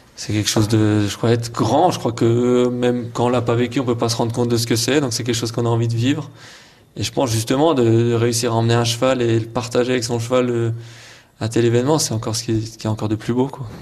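Here a man talks at a very fast pace with a medium pitch. His intonation is monotone and flat. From eastern France, Haute-Saône. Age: 20s. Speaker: show jumping rider. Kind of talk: interview.

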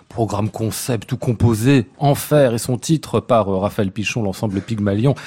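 A man's fairly low voice comes across somewhat breathy, with a dark, mellow tone. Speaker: radio host. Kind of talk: live radio interview. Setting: live in front of an audience in a hotel.

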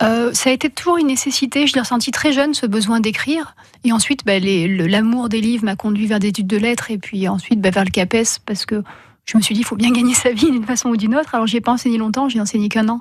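A woman's fairly high, somewhat breathy voice at a very fast pace, with ordinary pitch variation. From France, Hautes-Alpes. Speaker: rock climber and writer. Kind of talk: radio interview.

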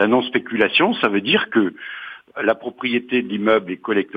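A man talks at a moderate pace. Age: 60s. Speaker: retiree, cooperative housing resident. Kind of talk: interview.

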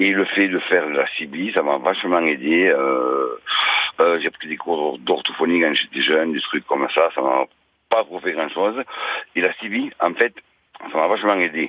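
The delivery is fairly slow, with long, frequent pauses. Pitch variation is ordinary. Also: man, very deep, low pitch for a man. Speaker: caller, former stutterer. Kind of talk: phone-in testimony. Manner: occasional stutter.

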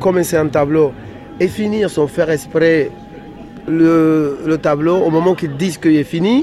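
Noticeable background noise sits under a man's fairly high voice. He speaks at a fairly slow pace with fairly even intonation. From Dominican Republic. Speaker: illustrator. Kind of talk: interview. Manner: halting.

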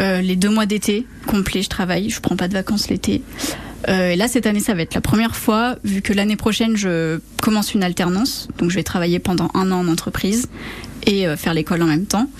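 A woman with a medium pitch talks at a fairly quick pace with ordinary pitch variation over noticeable background noise. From western France (Charente). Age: 20s. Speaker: master's student and summer camp leader. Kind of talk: radio interview. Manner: hesitant, with many fillers.

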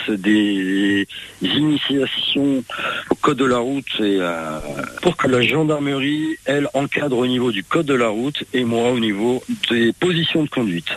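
Against noticeable background noise, a man talks at a fairly slow pace and medium pitch, with ordinary pitch variation, very even loudness and a dry, close sound with no echo. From France, Creuse. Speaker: e-scooter tour business owner. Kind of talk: radio interview. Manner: hesitant, with fillers.

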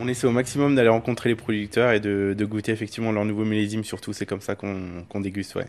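A man's fairly low voice at a very fast pace, with fairly even intonation and hardly any pauses. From Burgundy, France. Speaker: wine merchant. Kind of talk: street interview. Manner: hesitant, many fillers.

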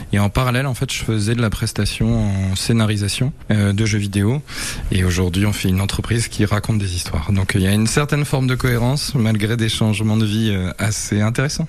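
Fairly quick, fairly low-pitched speech from a man, with ordinary pitch variation and very even loudness, under noticeable background noise. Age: 30s. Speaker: video game studio co-founder. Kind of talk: interview.

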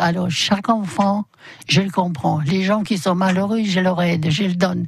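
At a very slow pace, the woman talks in a medium pitch. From Poland. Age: 80s+. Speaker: bicycle shop owner. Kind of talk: radio interview. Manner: halting.

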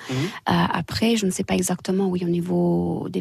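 In a Romanian accent, a somewhat breathy voice comes through with a dry, close sound and no echo. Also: woman. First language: Romanian (speaking French). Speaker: English teacher and dance instructor. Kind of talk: radio interview.

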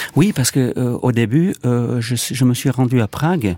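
A man's medium-pitched voice with a Czech accent, a dark, mellow tone and ordinary pitch variation, in a dry, close sound with no echo. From Czech Republic. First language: Czech (speaking French). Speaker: film director. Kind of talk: interview. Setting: studio. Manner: halting.

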